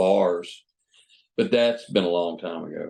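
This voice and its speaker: A man talks with an Alabama accent. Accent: Southern US (Alabama). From US Gulf Coast, Mobile, Alabama. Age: 60s. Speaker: retired boat captain. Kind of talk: interview. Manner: halting, many fillers and repeats.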